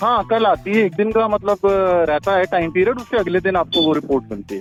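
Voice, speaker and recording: A man's high-pitched voice with ordinary pitch variation over music in the background. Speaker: prank call victim; lab staff. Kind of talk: phone conversation, unaware of prank. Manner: polite, professional, hesitant.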